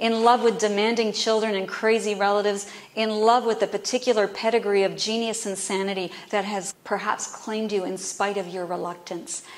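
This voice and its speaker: A woman talks at a fairly quick pace with hardly any pauses, at a medium pitch. Her intonation is monotone and flat, with noticeable background noise. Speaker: poet. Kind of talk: poetry reading. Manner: heartfelt, measured.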